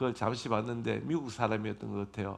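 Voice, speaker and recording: A man at medium pitch and moderate pace, with vocal fry. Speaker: pastor. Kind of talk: sermon. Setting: church.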